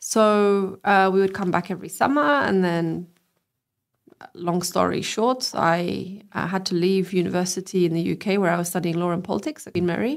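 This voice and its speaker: Speaking with a British accent at a moderate pace and medium pitch, a woman is heard in a very clean recording with a silent background. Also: ordinary pitch variation. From England. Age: 30s. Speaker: politician and lawyer. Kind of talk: interview. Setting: live-streamed podcast.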